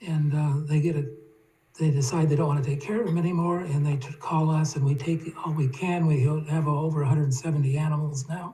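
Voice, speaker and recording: With monotone, flat intonation, a man speaks at a fairly quick pace over noticeable background noise. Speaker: retired professor speaking at public comment. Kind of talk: public comment at town meeting. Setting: town board meeting. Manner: halting, many fillers.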